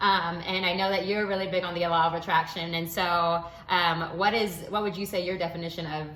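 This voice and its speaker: With noticeable background noise and audible room echo, a woman with a fairly low pitch speaks at a fairly quick pace in a monotone, flat intonation. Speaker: video diary host. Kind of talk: casual chat.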